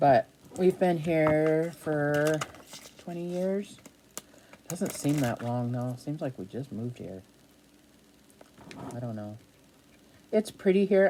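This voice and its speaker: Very slowly, a woman speaks at a very deep, low pitch with lively intonation. She has a slight New England accent. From New Hampshire. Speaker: craft vlogger. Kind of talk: casual chat. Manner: chatty.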